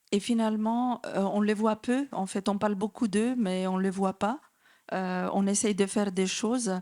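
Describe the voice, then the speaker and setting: A woman speaks with a Macedonian accent at medium pitch and a fairly slow pace. Her loudness stays very even and her intonation fairly even, on a very clean recording with a silent background. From North Macedonia. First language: Macedonian (speaking French). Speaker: association director. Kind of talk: conference talk. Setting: conference with audience. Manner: hesitant, many fillers.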